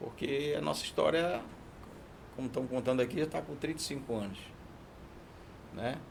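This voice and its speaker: Pausing long and often, a man speaks at a moderate pace with a medium pitch and ordinary pitch variation. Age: 60s. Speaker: diesel mechanic, business owner. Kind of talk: casual chat.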